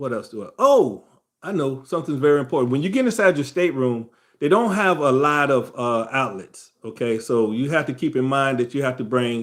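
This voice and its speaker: A man's normal speaking voice at medium pitch, on a very clean recording with a silent background. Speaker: travel livestream host. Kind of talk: casual livestream tutorial. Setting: live stream. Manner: casual, conversational.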